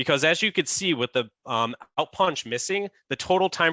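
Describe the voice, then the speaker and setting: This man's voice has a bright, sharp tone. The sound is dry and close with no echo, over a quiet background. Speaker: software product demo presenter. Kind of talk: webinar product demo. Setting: zoom webinar. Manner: fast.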